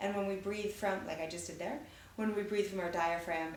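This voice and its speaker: A woman speaks over noticeable background noise. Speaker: theatre teaching artist. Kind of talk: instructional talk to camera for children. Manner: encouraging, casual.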